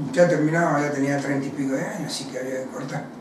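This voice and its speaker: Audible room echo and light background noise surround a man as he talks. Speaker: former footballer. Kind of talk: interview. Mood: reflective, recalling career. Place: home room.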